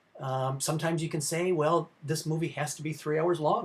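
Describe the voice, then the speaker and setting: A man speaks at a moderate pace in a fairly high pitch, with ordinary pitch variation. His voice is somewhat breathy. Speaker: film history professor. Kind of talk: lecture. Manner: halting, many fillers.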